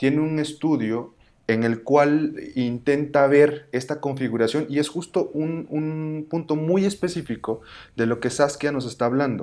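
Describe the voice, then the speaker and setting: A man speaks at a fairly high pitch with ordinary pitch variation. His pace is fairly slow. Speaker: podcast host. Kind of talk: casual discussion. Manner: halting, with many fillers.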